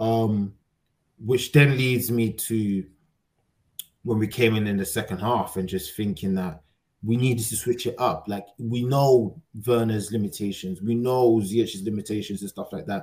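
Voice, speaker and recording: A plain, everyday voice speaks at a fairly slow pace with fairly even intonation. The recording is very clean, with a silent background. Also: man, fairly low pitch for a man. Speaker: football podcast host. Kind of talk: casual banter.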